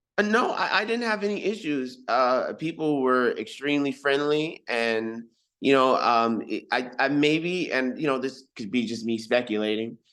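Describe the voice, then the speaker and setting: Against a quiet background, a man with an American accent and a fairly high voice talks at a moderate pace with lively intonation and hardly any pauses. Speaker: hip hop recording artist. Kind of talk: interview. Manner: halting, many fillers.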